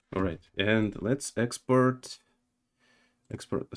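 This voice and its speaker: At a fairly slow pace, a man speaks with a non-native accent and ordinary pitch variation. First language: not English. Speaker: game developer streamer. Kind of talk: live coding stream. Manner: halting, many fillers and repetitions.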